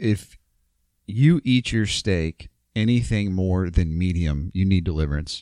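A man with an American accent, very deep and low in pitch, dark and mellow in tone, fairly slow, with ordinary pitch variation and a dry, close sound with no echo. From Ohio, US. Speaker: podcast co-host. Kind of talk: casual chat.

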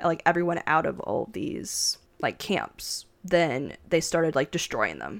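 Recorded very cleanly against a silent background, a woman speaks in a fairly low pitch with fairly even intonation and vocal fry. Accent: American. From US, Japanese American family. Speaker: podcast co-host. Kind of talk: casual chat.

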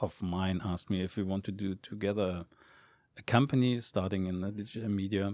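A man with a fairly low pitch speaks at a moderate pace and with fairly even intonation. The recording is very clean, with a silent background. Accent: German. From Germany. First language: German. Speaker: esports executive. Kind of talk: interview. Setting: studio. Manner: halting.

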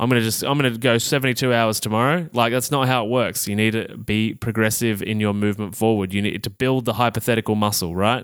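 On a very clean recording with a silent background, a man speaks at a very fast pace with an Australian accent. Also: medium pitch for a man, hardly any pauses. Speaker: health podcast host and coach. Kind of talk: solo educational podcast monologue. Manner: casual, upbeat.

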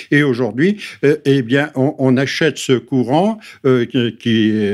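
A man talks at a medium pitch with ordinary pitch variation. The recording is very clean, the background silent. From northern France, Pas-de-Calais mining area. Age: 70s. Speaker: member of parliament. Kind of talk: radio interview.

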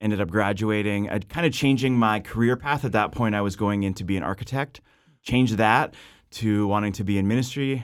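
The recording is very clean, with a silent background. A man with a Canadian accent uses an ordinary speaking voice, fairly low in pitch, with ordinary pitch variation and a fairly quick pace. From western Canada (Abbotsford, British Columbia). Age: 30s. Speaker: pastor. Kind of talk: casual interview chat.

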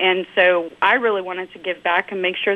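A woman speaks at a fairly quick pace and a medium pitch in a plain, everyday voice. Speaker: email marketing director. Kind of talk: interview discussion.

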